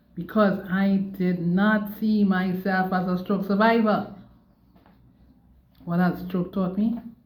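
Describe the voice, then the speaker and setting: Somewhat breathy and monotone, a woman with a medium-pitched voice speaks with flat intonation in a room with audible echo. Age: 60s. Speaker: stroke survivor vlogger. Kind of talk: personal testimony monologue. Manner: repetitive, emphatic.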